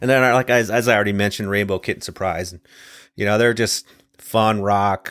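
An unremarkable speaking voice carries a fairly even intonation. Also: man, very clean recording, silent background. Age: 50s. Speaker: podcast host. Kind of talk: solo monologue podcast. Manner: casual, filler-heavy.

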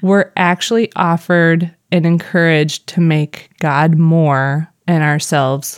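A woman speaks very slowly with a Missouri accent, her voice fairly low. Her loudness stays very even and her intonation fairly even. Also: dry, close sound with no echo. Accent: Midwestern US, Missouri. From Missouri, US. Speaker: podcast co-host.

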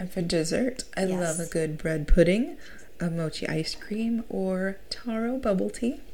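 Speaking at a fairly slow pace with an American accent, the voice has a dark, mellow tone and lively intonation, with audible room echo. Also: woman, medium pitch for a woman. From Minnesota, US Midwest. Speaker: podcast host. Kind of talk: casual chat.

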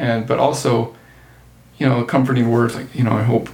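Amid noticeable background noise and audible room echo, a man with a Utah accent talks at a moderate pace. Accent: Utah American. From southern Utah. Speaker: accountant. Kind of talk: casual chat.

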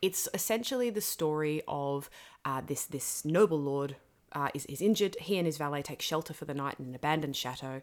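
A woman with a very deep, low pitch speaks at a fairly quick pace with ordinary pitch variation. The recording is very clean, with a silent background. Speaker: podcast host and creative director. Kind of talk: casual chat. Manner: fast when excited; animated.

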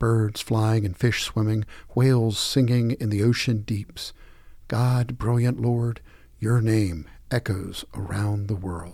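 A man with a somewhat breathy, dark, mellow tone and medium pitch speaks at a very slow pace with fairly even intonation, in a very clean recording with a silent background. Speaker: daily prayer leader reading devotional. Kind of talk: scripture reading and liturgical prayer. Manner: measured, formal, solemn.

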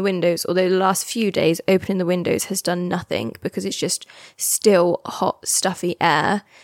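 With a British accent, a woman speaks at a moderate pace, her medium pitch carried by fairly even intonation. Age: 20s. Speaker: podcast host. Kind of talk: casual solo chat. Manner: chatty, meandering.

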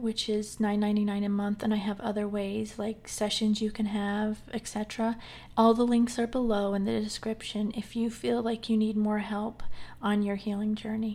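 A somewhat breathy woman with a gentle tone, fairly high pitch and monotone, flat intonation, at a moderate pace, in a very clean recording with a silent background. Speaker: healing coach and podcast host. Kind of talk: guided meditation; solo talk. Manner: gentle, measured pacing with pauses.

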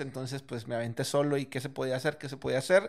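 A man's pitch sits fairly high. He talks at a very fast pace. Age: 20s. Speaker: restaurant entrepreneur. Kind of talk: casual interview.

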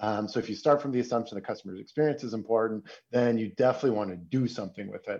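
A man with a Canadian accent speaks at a medium pitch. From Canada, Toronto. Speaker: software company executive. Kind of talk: interview. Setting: remote call.

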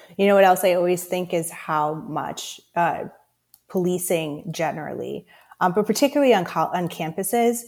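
Using a plain, everyday voice, a woman speaks at a medium pitch and a moderate pace. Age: 30s. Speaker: podcast host. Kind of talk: interview.

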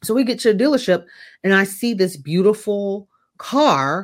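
In an animated tone, a woman at medium pitch speaks with ordinary pitch variation on a very clean recording with a silent background. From US South, Jacksonville, Florida. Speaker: life coach. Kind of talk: casual interview.

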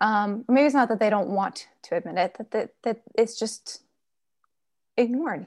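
Against a quiet background, a woman has a normal speaking voice at a moderate pace. Her pitch is fairly high, with ordinary variation. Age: 30s. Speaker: author. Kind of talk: interview.

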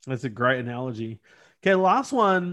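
A plain, everyday voice from a man with fairly high pitch, moderate pace and ordinary pitch variation over a quiet background. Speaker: podcast host. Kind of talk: casual interview chat.

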